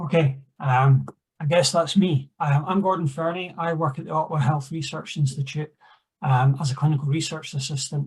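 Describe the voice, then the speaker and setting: A man with a Scottish accent talks at a fairly high pitch, sounding somewhat breathy. His intonation stays fairly even. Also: moderate pace. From Scotland. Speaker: clinical research assistant, discussant. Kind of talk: conference Q&A discussion. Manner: halting, many fillers.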